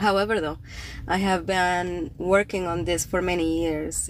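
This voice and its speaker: Someone with a Spanish accent talks at a moderate pace with ordinary pitch variation on a very clean recording with a silent background. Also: woman. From Cuba. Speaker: poet and writer, podcast host. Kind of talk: casual livestream talk. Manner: casual, with fillers and hesitations.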